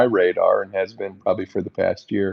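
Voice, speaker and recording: Fairly quick and fairly even in intonation, a man talks in an ordinary speaking voice. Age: 60s. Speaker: podcast co-host, finance veteran. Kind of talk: casual podcast chat.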